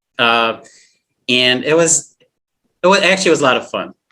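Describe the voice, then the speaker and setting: Speaking at a fairly quick pace with a slight northern US accent, a man uses lively intonation and a bright, sharp tone. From Flint, Michigan. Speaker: actor and filmmaker. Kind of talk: casual chat. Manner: halting.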